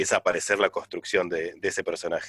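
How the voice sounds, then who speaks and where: The sound of this man talking at a fairly quick pace is dry and close, with no echo. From Argentina, La Plata. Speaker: radio host. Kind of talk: casual interview.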